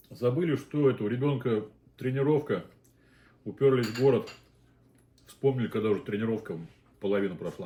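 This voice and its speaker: Somewhat breathy and dark, mellow in tone, a man speaks at a medium pitch and a fairly quick pace, with lively intonation and long, frequent pauses. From Azerbaijan (Baku). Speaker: mukbang host, father. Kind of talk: casual chat while eating on a live stream.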